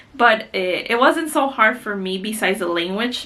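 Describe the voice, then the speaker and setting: A woman with a strong Mexican accent speaks at a medium pitch and a moderate pace, her intonation lively. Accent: heavy Mexican Spanish. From Mexico, Guanajuato. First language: Spanish. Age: 30s. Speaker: beauty vlogger. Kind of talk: casual chat.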